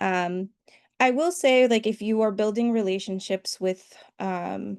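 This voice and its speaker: Against a quiet background with a dry, close sound with no echo, an ordinary speaking voice with an American accent moves at a fairly slow pace with ordinary pitch variation. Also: woman, medium pitch for a woman. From US Northeast. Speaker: grant writing trainer. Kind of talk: online workshop presentation. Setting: video call.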